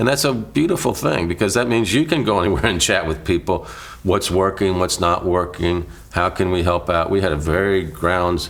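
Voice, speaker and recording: A man's very deep, low voice with lively intonation at a fairly quick pace. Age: 60s. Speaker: former city mayor. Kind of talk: interview.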